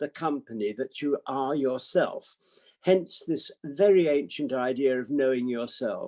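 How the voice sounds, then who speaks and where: A man with a British accent, fairly high in pitch and dark, mellow in tone, at a fairly slow pace, in a dry, close sound with no echo. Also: ordinary pitch variation. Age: 80s. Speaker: psychiatrist. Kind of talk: talk to online audience.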